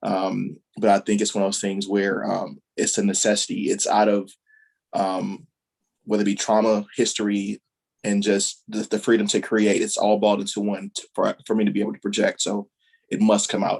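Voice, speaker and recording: A soft-spoken man at a moderate pace. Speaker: visual artist. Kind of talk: panel discussion. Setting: video call.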